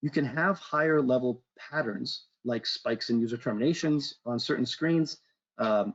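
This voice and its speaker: The speaker is a man. His pitch is medium, with ordinary variation. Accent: American. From Boston, US. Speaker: solutions engineer presenting a webinar. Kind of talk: webinar presentation.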